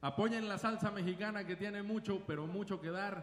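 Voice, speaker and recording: Noticeable background noise and audible room echo fill the recording. A high-pitched man speaks at a moderate pace in an animated tone. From Mexico. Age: old. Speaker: salsa band singer. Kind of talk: live concert stage banter. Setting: stage with audience.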